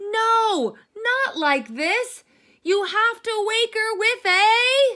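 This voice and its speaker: A squeaky, put-on character voice moves at a very slow pace with very even loudness. Its pitch varies in an ordinary way. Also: woman, extremely high pitch for a woman. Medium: read story. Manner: scolding, exasperated.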